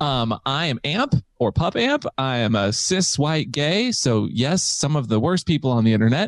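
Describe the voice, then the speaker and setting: A man speaks in an unremarkable speaking voice, pitched fairly high, with lively intonation. His pace is moderate and his loudness stays very even. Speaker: podcaster.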